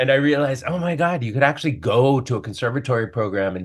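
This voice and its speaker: A man with an American accent and a plain, everyday voice talks at a fairly quick pace with lively intonation. The background is quiet. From US Northeast, New York City. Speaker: Broadway actor. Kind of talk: casual interview. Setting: video call.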